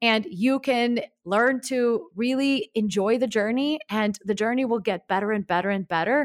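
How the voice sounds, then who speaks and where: In a Russian accent, a woman with a fairly high pitch and ordinary pitch variation speaks at a moderate pace, the very clean recording dry and close with no echo and a silent background. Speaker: life coach. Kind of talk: interview.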